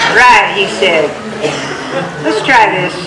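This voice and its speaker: A woman talks at a fairly slow pace in an American accent. Noticeable background noise is present. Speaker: storyteller. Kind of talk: tall-tale storytelling performance. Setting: live stage with microphone. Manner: humorous, conversational.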